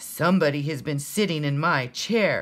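A booming put-on character voice sits at a middle pitch. The pace is moderate. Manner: storybook narration.

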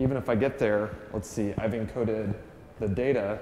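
In a room with audible echo and light background noise, a man speaks at a fairly quick pace with a fairly low pitch. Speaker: conference presenter. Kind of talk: lecture. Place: meeting room.

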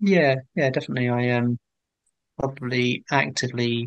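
In a southern English accent, a man speaks at a moderate pace in a dry sound with no echo and a quiet background. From England, Hertfordshire; England. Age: 40s. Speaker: painter; guest. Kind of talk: interview conversation. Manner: hesitant, many fillers. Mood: relaxed, reflective. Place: home room. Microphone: video call.

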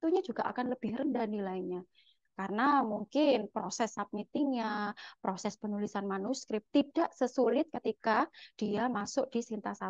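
A woman with a fairly high pitch and ordinary pitch variation speaks at a moderate pace, the sound dry with no echo and the background quiet. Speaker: lecturer. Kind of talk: lecture. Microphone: webcam.

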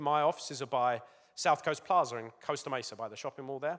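Against a quiet background, someone with an English accent speaks at a very fast pace. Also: man. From England. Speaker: business executive; presenter. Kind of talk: talk to schoolchildren. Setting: school assembly with audience. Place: hall. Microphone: handheld.

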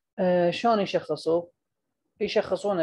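Someone speaks with an Iraqi accent. The pace is moderate. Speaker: medical lecturer. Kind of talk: lecture.

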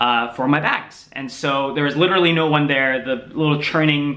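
Pitch varies in an ordinary way as this man talks. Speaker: vlogger. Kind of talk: casual vlog chat. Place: home room. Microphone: camera far.

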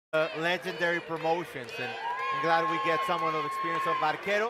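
A man's high-pitched voice amid noticeable background noise. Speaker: play-by-play commentator. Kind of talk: live fight commentary, excited race-call style. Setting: live event, cage-side.

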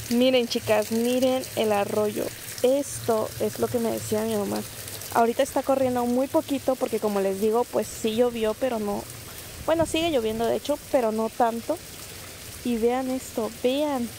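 In a normal speaking voice, a woman talks at a fairly slow pace with a fairly high pitch and fairly even intonation, on a dry sound with no echo and light background noise. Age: 20s. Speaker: vlogger, single mother; vlogger. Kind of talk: casual vlog talk to camera.

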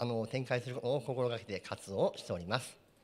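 A man talks at a fairly quick pace. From Japan, Yokohama; Japan. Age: 40s. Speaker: company president; guest. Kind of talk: presentation. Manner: formal. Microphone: handheld.

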